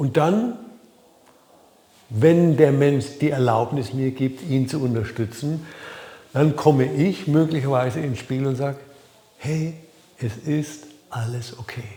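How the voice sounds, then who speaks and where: A man with a Franconian accent speaks at a very slow pace, leaving long, frequent pauses. His pitch is fairly high with ordinary variation, heard over noticeable background noise. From Franconia, Germany. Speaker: life coach. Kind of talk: talking-head video. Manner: hesitant, with fillers.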